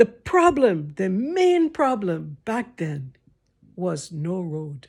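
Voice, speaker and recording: Very slowly, a woman of medium pitch speaks in a somewhat breathy voice with very wide pitch swings and big swings in loudness. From Liberia. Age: 60s. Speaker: storyteller vlogger. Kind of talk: storytelling. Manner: animated.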